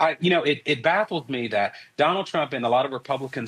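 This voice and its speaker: Here a man speaks with a North Carolina accent at a medium pitch. His pace is fairly quick, and his pitch variation is ordinary. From US South, North Carolina. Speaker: political analyst. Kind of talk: news interview.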